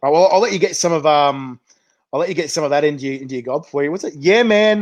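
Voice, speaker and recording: A fairly high-pitched man at a very fast pace with ordinary pitch variation. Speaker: chilli show host. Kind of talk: casual interview.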